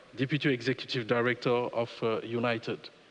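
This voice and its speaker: A medium-pitched man with a French accent and monotone, flat intonation. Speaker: panel moderator, law professor, former politician. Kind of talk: panel moderation. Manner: halting, many fillers.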